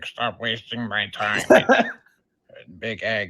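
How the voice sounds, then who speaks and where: Doing a put-on character voice, a man sounds raspy at a medium pitch with monotone, flat intonation. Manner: feigned gasping, strained, mocking.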